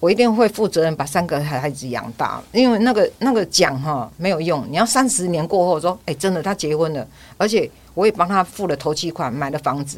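A woman with an unremarkable speaking voice, fairly low in pitch, with lively intonation at a fairly quick pace, in a very clean recording with a silent background. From Taiwan. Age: 60s. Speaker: pilgrimage walker. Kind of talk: interview.

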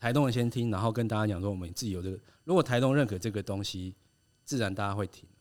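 Over a silent background in a very clean recording, a man speaks at a very fast pace with a fairly low pitch. His pitch varies in an ordinary way while his loudness swings widely. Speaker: designer. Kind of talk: casual chat.

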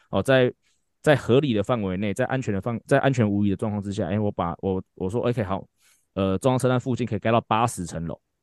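Delivered at a very fast pace with ordinary pitch variation, the voice sounds dry and close with no echo against a quiet background. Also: man, fairly low pitch for a man. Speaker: baseball fitness coach and podcast host. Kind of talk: casual chat.

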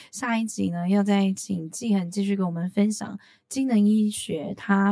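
A woman speaks at a fairly slow pace, her pitch medium. Her voice is somewhat breathy. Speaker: podcast host. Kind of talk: interview conversation.

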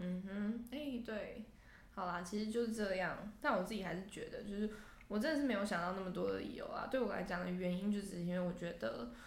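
Somewhat breathy, a woman talks at a fairly quick pace with medium pitch and ordinary pitch variation, with audible room echo around her. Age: 20s. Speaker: podcast co-host. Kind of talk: casual chat. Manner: animated.

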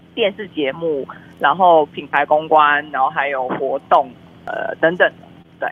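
This woman has a very deep, low pitch with ordinary pitch variation. She speaks at a fairly slow pace. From Malaysia. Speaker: film publicist. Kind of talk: casual interview. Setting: remote online call. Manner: lively, animated.

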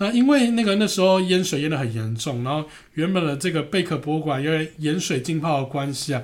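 Speaking at a fairly quick pace, a man with a normal speaking voice uses lively intonation at a fairly high pitch. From Taiwan. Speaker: podcast host, architecture travel enthusiast. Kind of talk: casual travel chat.

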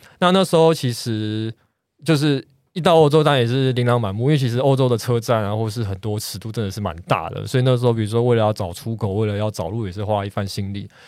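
A very fast man's voice at medium pitch, ordinary pitch variation, very clean recording with a silent background. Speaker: architect, podcast guest. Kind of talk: casual chat.

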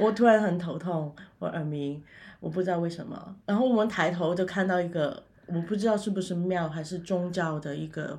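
Woman with a Cantonese accent, fairly low in pitch, ordinary pitch variation and moderate pace, against a quiet background. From Macau. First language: Cantonese (speaking Chinese). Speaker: funeral director and paranormal YouTuber. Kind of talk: interview.

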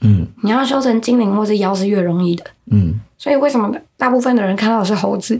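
Very fast female speech, fairly high in pitch, with ordinary pitch variation. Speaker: podcast co-host explaining folk beliefs. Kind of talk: casual chat.

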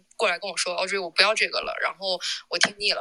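A woman's very fast speech against noticeable background noise. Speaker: record shop owner. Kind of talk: casual chat. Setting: live audio chat room.

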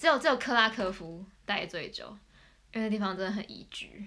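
A woman's bright, sharp voice at a fairly slow pace. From Taipei, Taiwan. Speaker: exchange student. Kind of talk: casual chat.

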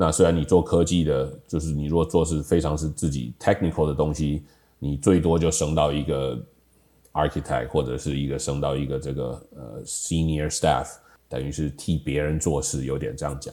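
A man speaks at a moderate pace in a very deep, low pitch with vocal fry. His tone is dark and mellow, and his intonation fairly even. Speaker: software industry professional, high school alumnus. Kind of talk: casual reminiscing interview.

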